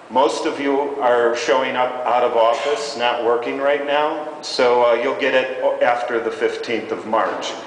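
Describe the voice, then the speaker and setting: Moderate-paced speech from a man in an American accent, amid noticeable background noise and audible room echo. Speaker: nonprofit leader on an industry panel. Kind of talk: conference panel presentation. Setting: stage with audience. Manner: loud.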